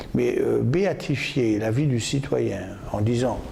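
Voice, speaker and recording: Noticeable background noise surrounds the man who is talking. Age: 70s. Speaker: mayor. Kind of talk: interview answer.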